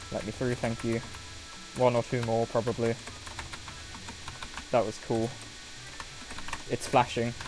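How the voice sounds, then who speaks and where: Music plays in the background as the speaker talks at a fairly slow pace with long, frequent pauses. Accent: British. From Britain. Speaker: video game streamer. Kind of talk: live gameplay commentary. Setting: live stream. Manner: animated.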